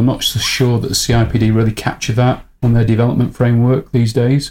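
Dark and mellow in tone and somewhat breathy, a man speaks at a moderate pace with monotone, flat intonation. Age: 50s. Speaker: learning technology company CEO. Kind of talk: interview.

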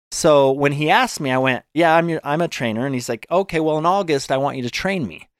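A man with an American accent talks at a fairly quick pace in an unremarkable speaking voice, fairly high for a man, with ordinary pitch variation, a dry, close sound with no echo, and a very clean recording over a silent background. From Utah, US. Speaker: fitness trainer and author. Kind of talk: casual interview.

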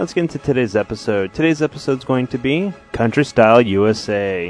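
A man's medium-pitched voice, a plain, everyday voice, at a moderate pace. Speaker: podcast host. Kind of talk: podcast intro and outro, sponsor read.

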